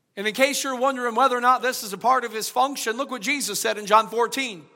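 In a raised, projected voice, a man speaks at an extremely high pitch. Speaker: pastor. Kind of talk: sermon. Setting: church. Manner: subdued, low volume.

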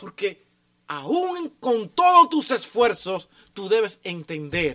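A man uses a raised, projected voice with a bright, sharp tone. He talks at a very slow pace, and his pitch swings very widely. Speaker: pastor. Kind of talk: sermon. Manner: sometimes shouts.

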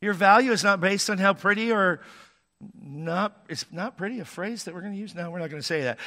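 In a raised, projected voice with a bright, sharp tone, a high-pitched man speaks with ordinary pitch variation on a very clean recording with a silent background. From Washington State, US. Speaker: pastor. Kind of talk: sermon. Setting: church.

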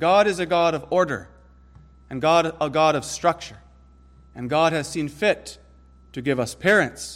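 A man's high-pitched voice at a fairly slow pace. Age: 30s. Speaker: pastor. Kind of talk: sermon.

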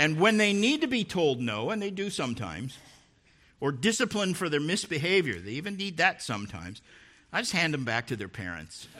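A fairly high-pitched man with vocal fry and a bright, sharp tone, pitch swinging very widely, at a fairly quick pace. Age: 60s. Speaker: preacher. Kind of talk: sermon. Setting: church.

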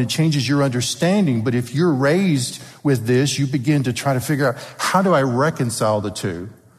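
In a room with audible echo, a man with a Southern US accent speaks at a moderate pace and fairly high pitch. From US South. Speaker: paleontologist and creationist speaker. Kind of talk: church talk.

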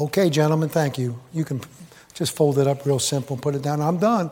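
Music plays in the background as a man talks at a moderate pace. His pitch is fairly high and his tone animated. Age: 70s. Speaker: preacher. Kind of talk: sermon. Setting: church.

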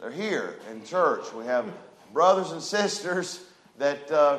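Loud and booming, a man with a fairly high pitch speaks slowly with lively intonation and a fairly bright tone, and room echo is audible.

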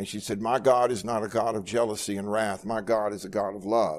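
A man with a plain, everyday voice speaks at a fairly low pitch and a moderate pace, his intonation fairly even. The recording is very clean, with a silent background. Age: 60s. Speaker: pastor. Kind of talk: Bible study sermon. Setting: church with congregation, livestreamed.

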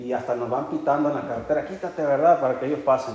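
An animated tone against noticeable background noise. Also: man. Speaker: preacher. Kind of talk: sermon. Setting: church. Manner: animated, earnest preaching with rhetorical questions and storytelling; warm, conversational, with occasional laughter.

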